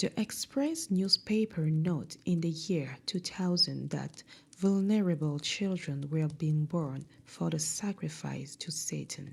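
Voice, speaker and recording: Someone with a non-native accent speaks at a very slow pace in a very clean recording with a silent background. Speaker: podcast host reading a book. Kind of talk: reading aloud.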